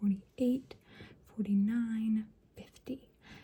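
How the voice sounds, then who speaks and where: A woman's whisper, soft-spoken and somewhat breathy, at a very slow pace. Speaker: ASMR creator playing a doctor. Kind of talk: ASMR doctor roleplay. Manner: whispered, soft-spoken.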